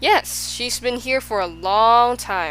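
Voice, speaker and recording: Using a put-on character voice, a woman speaks at a fairly slow pace with clear background noise. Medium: read story. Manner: chuckling, smug.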